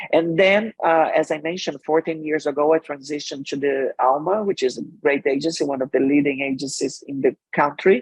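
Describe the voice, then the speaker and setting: Pitched fairly high, a man talks at a fairly quick pace with hardly any pauses. His intonation stays fairly even. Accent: Brazilian. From Brazil. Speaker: marketing executive and author. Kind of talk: interview.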